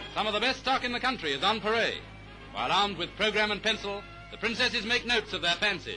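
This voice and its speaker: Over music in the background, a man speaks very fast in a raised, projected voice, pitched high with fairly even intonation. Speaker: newsreel narrator. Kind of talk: newsreel commentary.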